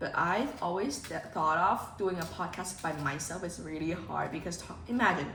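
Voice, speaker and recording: Talking at a fairly quick pace, a woman with a Cantonese accent has a fairly low pitch, heard through audible room echo and noticeable background noise. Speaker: vlogger. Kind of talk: vlog chat. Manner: casual, animated.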